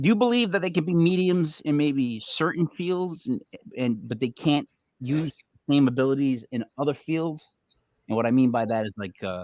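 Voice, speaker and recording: Over a dry, close sound with no echo, a man with a fairly high pitch talks at a moderate pace with lively intonation. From US Northeast, Italian-American family. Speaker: podcast host. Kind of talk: casual chat, podcast interview. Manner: animated, lots of gestures; halting, many fillers and restarts.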